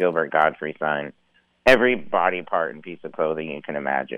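Very deep, low pitch from a man in an American accent. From western Montana, Missoula. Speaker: stand-up comedian. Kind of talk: casual interview chat. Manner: hesitant, many ums and uhs.

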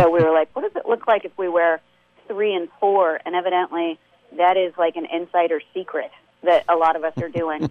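A woman's fairly low voice with fairly even intonation, an unremarkable speaking voice. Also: fairly quick pace. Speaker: comedian and web series creator. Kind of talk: casual chat.

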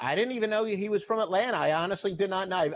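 Talking at a very fast pace, a man delivers his words. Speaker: sports handicapper. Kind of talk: sports betting picks discussion. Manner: jokey, wry.

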